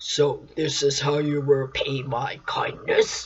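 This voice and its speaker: A put-on character voice, growling, low-to-middle in pitch and fairly slow. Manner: snarling.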